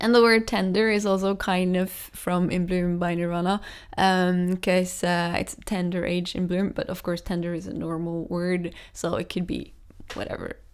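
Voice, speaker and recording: With a Norwegian accent, a woman speaks at a moderate pace and medium pitch in monotone, flat intonation, in a very clean recording with a silent background. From Norway. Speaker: singer-songwriter. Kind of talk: casual explanation of own song lyrics. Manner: hesitant, many fillers.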